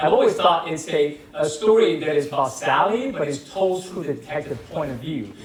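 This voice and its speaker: A man's fairly high voice with hardly any pauses, audible room echo and noticeable background noise. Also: ordinary pitch variation, moderate pace. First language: not English. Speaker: filmmaker. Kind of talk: Q&A after film screening. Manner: hesitant, many fillers and repetitions.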